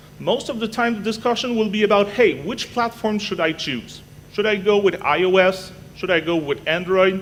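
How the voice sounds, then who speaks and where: A man with a high pitch speaks in a Quebec accent over noticeable background noise. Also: ordinary pitch variation. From Canada. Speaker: technology evangelist. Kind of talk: conference talk. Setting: stage with audience. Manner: fast; animated.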